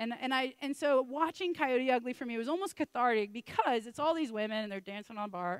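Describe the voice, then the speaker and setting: A woman talks at a very fast pace in a high pitch with lively intonation. The sound is dry and close, with no echo. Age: 30s. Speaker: preacher. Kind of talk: sermon. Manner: loud.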